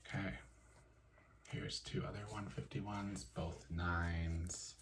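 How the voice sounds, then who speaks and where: A soft-spoken man with a very deep, low pitch talks at a fairly slow pace in a relaxed tone with lively intonation. Noticeable background noise can be heard. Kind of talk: soft-spoken ASMR talk to camera about card collecting. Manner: soft-spoken, relaxed.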